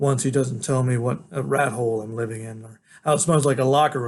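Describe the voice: Fairly even intonation in plain reading aloud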